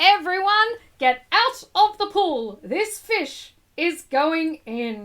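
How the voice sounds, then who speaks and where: A put-on character voice with very wide pitch swings at a very slow pace. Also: woman, extremely high pitch for a woman. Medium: read story. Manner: loud, brisk.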